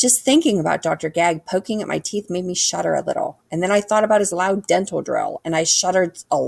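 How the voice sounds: This is a natural reading voice. It carries the words along without fuss.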